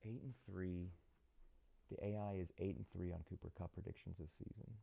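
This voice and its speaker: Soft-spoken, the speaker keeps a moderate pace and fairly even intonation. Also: man, very deep, low pitch for a man. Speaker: sports betting show host. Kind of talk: live stream commentary on betting picks.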